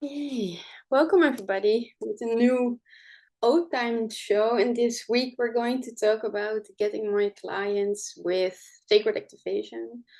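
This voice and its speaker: With a Dutch accent, a woman speaks fairly slowly at a fairly high pitch with ordinary pitch variation over a quiet background. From Netherlands. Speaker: spiritual healing teacher. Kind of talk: live show presentation. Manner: halting, many fillers.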